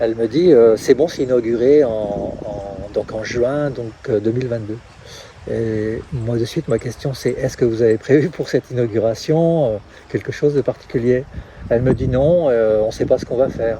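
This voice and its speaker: A man's medium-pitched voice at a moderate pace with ordinary pitch variation, over noticeable background noise. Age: 60s. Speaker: trail race organizer. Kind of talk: interview. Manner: halting.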